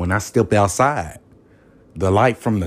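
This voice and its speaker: This man speaks with a Southern US accent. His pitch is fairly low. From US South. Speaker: podcast host. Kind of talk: motivational monologue. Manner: animated.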